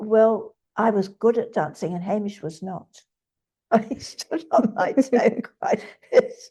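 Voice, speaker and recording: Very slow and somewhat breathy, a woman speaks with lively intonation in a fairly high voice with a dark, mellow tone. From New Zealand. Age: 80s+. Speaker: retired dental nurse. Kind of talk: interview answer. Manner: articulate, eloquent.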